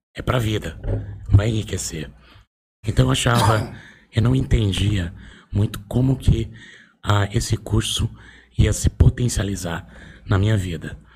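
At a fairly slow pace, a man speaks at a fairly low pitch with vocal fry and ordinary pitch variation. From Brazil, Osasco (São Paulo). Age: 40s. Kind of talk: casual interview.

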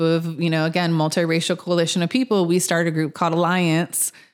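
A woman with a Californian accent, fairly low in pitch, with monotone, flat intonation on a very clean recording against a silent background. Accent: Californian American English. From Los Angeles (mid-city). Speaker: podcast co-host and community organizer. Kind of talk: casual chat.

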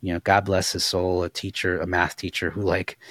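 A man's very deep, low voice in an American accent, at a moderate pace, on a very clean recording with a silent background and a dry, close sound with no echo. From Los Angeles, Koreatown. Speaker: executive director of a racial justice nonprofit. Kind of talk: casual interview conversation.

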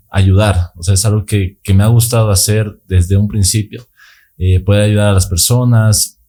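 On a very clean recording with a silent background, a man speaks at a fairly slow pace with a fairly low pitch, a dark, mellow tone and a somewhat breathy quality. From Bolivia, Sucre. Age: 20s. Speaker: long-distance cyclist. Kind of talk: casual interview.

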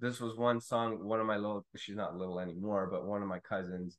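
Delivered at a fairly quick pace, this is an unremarkable speaking voice with fairly even intonation. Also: man. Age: 30s. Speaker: podcast guest, music fan. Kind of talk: casual chat.

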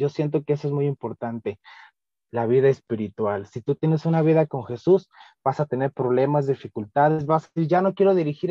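A man talks at a fairly quick pace with ordinary pitch variation. It is an ordinary speaking voice. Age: 20s. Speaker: youth ministry coordinator. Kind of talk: podcast interview. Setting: video call.

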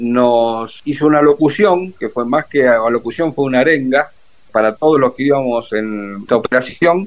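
A man talks in a normal speaking voice, fairly high in pitch, at a fairly slow pace with ordinary pitch variation. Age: 60s. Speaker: retired navy officer and war veteran. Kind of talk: interview.

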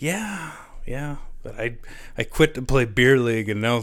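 Ordinary pitch variation marks a man speaking with a western Canadian accent. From Canada, Lloydminster area (Saskatchewan/Alberta border). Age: 30s. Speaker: former hockey player. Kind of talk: casual interview.

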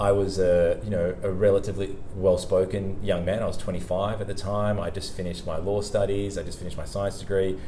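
In an Australian accent, a man speaks at a moderate pace and a fairly low, monotone pitch, with audible room echo. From Australia, Sydney. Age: 40s. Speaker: sales leader and interview coach. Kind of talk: casual interview chat.

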